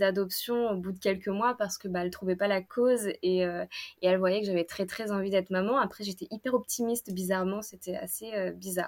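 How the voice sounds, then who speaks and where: This is a very clean recording, and its background is silent. The intonation remains fairly even. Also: woman. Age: 30s. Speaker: illustrator and breastfeeding mother. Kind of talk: personal testimony interview. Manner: hesitant, many fillers and repetitions.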